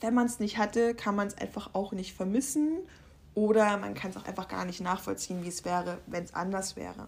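A woman speaks with a medium pitch at a fairly quick pace. Her pitch variation is ordinary. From Saxony, Upper Lusatia. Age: 20s. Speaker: podcaster. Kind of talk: personal monologue.

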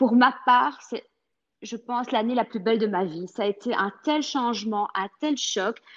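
This woman has a plain, everyday voice, fairly high in pitch, with ordinary pitch variation and a fairly slow pace. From Belgium. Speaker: French teacher. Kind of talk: interview.

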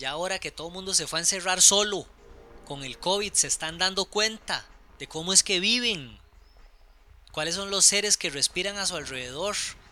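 A man with a high, bright, sharp voice speaks in a raised, projected way at a moderate pace, with long, frequent pauses, big swings in loudness and ordinary pitch variation. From Costa Rica, Alajuela. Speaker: architect and writer. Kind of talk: casual chat. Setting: at home. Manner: halting.

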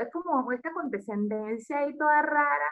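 The speaker has a Venezuelan accent and a fairly slow pace. The intonation is lively. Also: woman. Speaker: podcast co-host. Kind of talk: casual chat.

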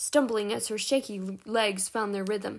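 This is an unforced reading voice. Nothing else is noted.

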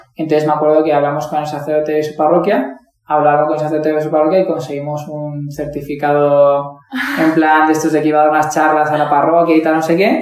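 The room echo is audible as a man talks at a very fast pace. His voice sits fairly high in pitch. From Valencia, Spain. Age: 20s. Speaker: primary school teacher. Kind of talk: testimony.

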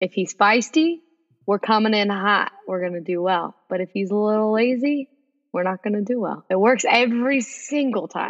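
At a moderate pace, a woman talks in a normal speaking voice with a fairly high pitch. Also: ordinary pitch variation. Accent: American. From Texas. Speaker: podcast guest host, sports fan. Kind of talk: casual chat.

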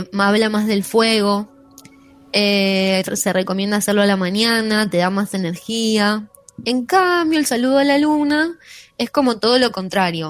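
Music plays in the background as a woman speaks. Her pitch is fairly high and her intonation lively. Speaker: radio host and teacher. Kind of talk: casual chat; yoga explanation.

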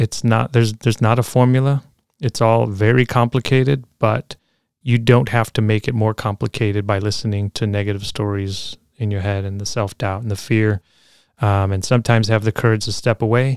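A man with an ordinary speaking voice talks at a fairly quick pace and fairly low pitch with fairly even intonation, sounding dry and close with no echo on a very clean recording with a silent background. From Chicago, Logan Square. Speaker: physical therapist and DJ. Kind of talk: casual interview.

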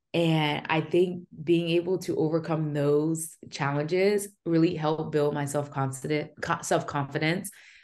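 With a quiet background, a woman in an American accent speaks fairly slowly in a very deep, low voice with monotone, flat intonation. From New Jersey. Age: 30s. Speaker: military veteran and community founder. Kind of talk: interview.

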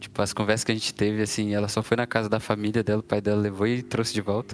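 A man's voice sits at a fairly low pitch. Behind him, music can be heard. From Brazil. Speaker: software developer. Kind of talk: casual chat.

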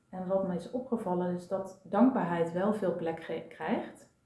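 A woman talks at a fairly slow pace with a fairly low pitch. The room gives audible echo. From Brabant, Netherlands. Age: 40s. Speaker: systemic coach and therapist. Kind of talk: casual chat. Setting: at a kitchen table.

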